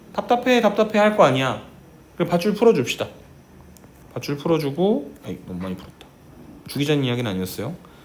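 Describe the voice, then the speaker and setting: Talking at a very fast pace, a man with a fairly high pitch uses very wide pitch swings and big swings in loudness, leaving long, frequent pauses, with audible room echo. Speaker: math teacher. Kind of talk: lecture. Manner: slightly slurred articulation; animated.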